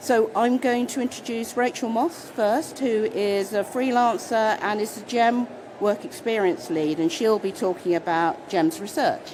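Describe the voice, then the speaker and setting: A woman with a British accent speaks at a fairly slow pace and a fairly high pitch, with hardly any pauses. Noticeable background noise can be heard. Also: lively intonation. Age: 60s. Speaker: panel chair. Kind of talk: conference panel talk.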